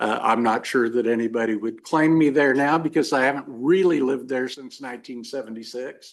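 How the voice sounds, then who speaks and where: A man with a Midwestern American accent, medium-pitched, fairly quick and with hardly any pauses, ordinary pitch variation, over a quiet background. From western Kansas (Hays). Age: 60s. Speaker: lawyer, judicial candidate. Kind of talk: job interview. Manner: halting, many fillers.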